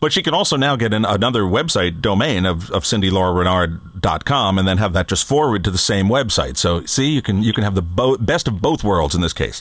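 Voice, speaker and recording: A man's fairly low voice at a fairly quick clip, lively in intonation, with hardly any pauses and very even loudness. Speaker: podcast co-host and producer. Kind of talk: casual chat. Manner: animated.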